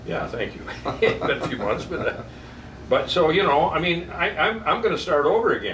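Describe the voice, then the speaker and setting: The speech moves at a moderate pace with long, frequent pauses, set against audible room echo and noticeable background noise. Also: man. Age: 70s. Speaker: barber and small business owner. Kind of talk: casual interview during haircut. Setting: barber shop.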